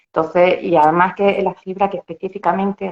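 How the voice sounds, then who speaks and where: Her pitch fairly low, a woman talks at a fairly quick pace in a monotone, flat intonation. The sound is dry and close, with no echo. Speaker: dietitian-nutritionist. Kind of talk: interview.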